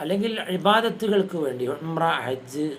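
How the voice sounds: Slowish in pace, the speaker has a fairly bright tone and lively intonation, with audible room echo. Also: man.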